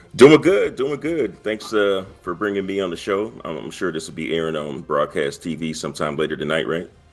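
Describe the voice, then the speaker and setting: Pitch leaps widely up and down as the words come at a fairly quick clip with hardly any pauses, over music in the background. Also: man, very deep, low pitch for a man. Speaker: gaming video creator. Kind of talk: casual chat.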